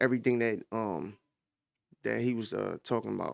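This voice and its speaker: A man talks at a fairly quick pace and medium pitch in a very clean recording with a silent background. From Camden, New Jersey (US). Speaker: podcast host. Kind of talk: casual commentary. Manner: halting, many fillers.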